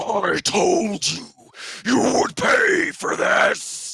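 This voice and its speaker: A man puts on a raspy character voice with an extremely high pitch. He speaks at a very slow pace. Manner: bellowing, menacing.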